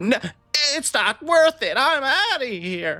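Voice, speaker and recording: Faint music plays behind a put-on character voice with a high pitch. It moves at a fairly slow pace with very wide pitch swings. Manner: scared, giving up.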